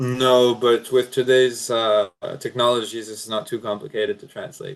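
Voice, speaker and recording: At a moderate pace, a man speaks in a flat monotone, his loudness swinging widely. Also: medium pitch for a man. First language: French. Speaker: drone company product manager. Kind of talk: webinar Q&A.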